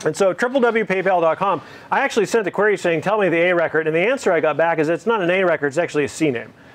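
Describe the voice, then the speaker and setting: A high-pitched man speaks at a very fast pace with lively intonation. His loudness stays very even. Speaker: guest lecturer on computer networking. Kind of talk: lecture. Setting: classroom with students.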